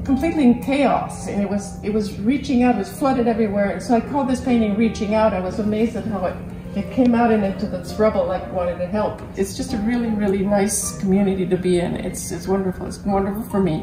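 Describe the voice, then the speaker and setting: Clear music plays behind a woman who talks at a very fast pace. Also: medium pitch for a woman, ordinary pitch variation. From New York. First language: French. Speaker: painter. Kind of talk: interview answer. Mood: warm, enthusiastic. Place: workshop.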